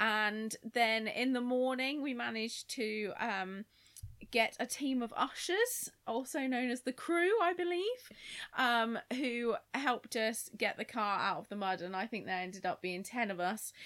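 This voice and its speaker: Recorded very cleanly against a silent background, a woman with an ordinary speaking voice, fairly high pitch and lively intonation speaks at a fairly slow pace. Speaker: podcast guest. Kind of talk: casual chat.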